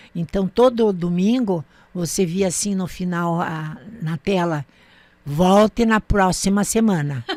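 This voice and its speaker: A woman at a very slow pace, medium in pitch with ordinary pitch variation, in a dry, close sound with no echo. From southern Brazil, Vale do Iguaçu (Paraná/Santa Catarina). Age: 80s+. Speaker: retired teacher and cultural figure. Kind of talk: interview, life memories.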